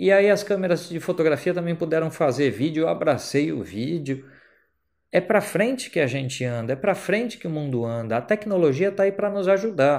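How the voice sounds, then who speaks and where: Against a quiet background, a man with an ordinary speaking voice talks at a fairly quick pace, with a fairly high pitch and lively intonation. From Brazil. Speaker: photographer and photography teacher; photography teacher. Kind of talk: educational vlog monologue. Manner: casual, conversational. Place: home room. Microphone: handheld.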